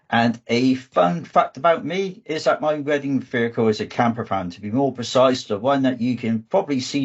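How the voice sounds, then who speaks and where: With a southwest English accent, a man talks at a moderate pace using ordinary pitch variation. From southwest England. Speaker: data engineering manager and trainer. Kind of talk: online conference presentation. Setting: video call.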